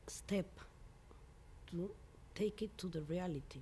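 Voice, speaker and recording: Somewhat breathy, a woman's voice carries a dark, mellow tone and fairly even intonation. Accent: Mexican. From Mexico. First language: Spanish. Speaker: composer. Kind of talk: interview. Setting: filmed at a music venue. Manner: halting, with frequent hesitations.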